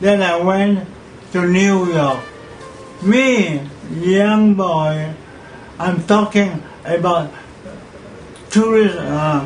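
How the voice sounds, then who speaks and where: Music plays in the background and room echo is audible as a man speaks very slowly at a high pitch, with long, frequent pauses and ordinary pitch variation. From Malaysia. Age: 80s+. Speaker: pageant figure. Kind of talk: interview. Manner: halting.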